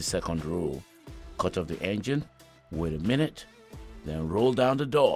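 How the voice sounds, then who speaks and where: A Nigerian accent at a moderate pace, with very wide pitch swings and music in the background. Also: man. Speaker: voice actor. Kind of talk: podcast story narration.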